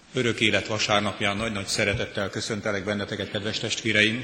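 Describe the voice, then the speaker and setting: Over noticeable background noise, a man talks in a fairly low voice with monotone, flat intonation. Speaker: liturgist. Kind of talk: church liturgy. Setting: church.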